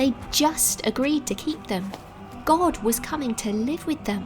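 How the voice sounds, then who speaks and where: Against music in the background, a woman speaks at a fairly slow pace. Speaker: voiceover narrator. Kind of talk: children's Bible story narration.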